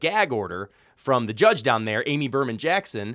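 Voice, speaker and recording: In a very clean recording with a silent background, a man speaks at a moderate pace with very wide pitch swings. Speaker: podcast co-host. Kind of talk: casual banter and interview. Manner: loud, excitable.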